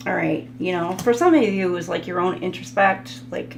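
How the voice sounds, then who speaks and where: A woman with a fairly low pitch speaks at a moderate pace, with audible room echo and noticeable background noise. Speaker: tarot reader. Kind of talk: tarot reading monologue. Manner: halting, many fillers.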